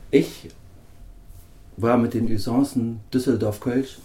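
His tone is dark and mellow, at a medium pitch. The man sounds somewhat breathy. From northern Germany. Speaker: radio interviewer. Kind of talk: interview.

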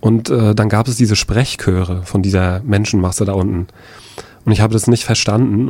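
Fairly quick and fairly low-pitched, a man speaks with a dark, mellow tone and fairly even intonation. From Rostock, northern Germany. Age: 30s. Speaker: eyewitness, NGO worker. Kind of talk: radio interview, personal testimony. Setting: radio studio.

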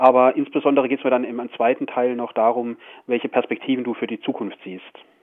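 A man with a medium pitch and an unremarkable speaking voice talks at a fairly quick pace, with big swings in loudness. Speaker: radio host. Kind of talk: radio interview. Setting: phone call from prison. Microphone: prison phone line.

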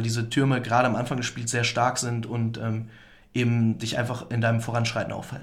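A man at medium pitch and a moderate pace, with audible room echo. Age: 20s. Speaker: student esports club chairman. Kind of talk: interview. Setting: studio.

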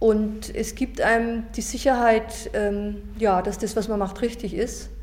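Audible room echo surrounds a woman who talks at a very slow pace. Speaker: retired teacher. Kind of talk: interview testimony. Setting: recorded interview in Nürnberg.

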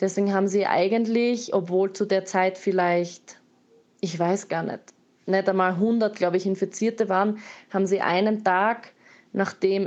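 A woman speaks in a normal speaking voice at medium pitch and a moderate pace, her intonation fairly even against a quiet background. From Austria, Graz. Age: 20s. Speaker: missionary and artist. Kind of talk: interview testimony.

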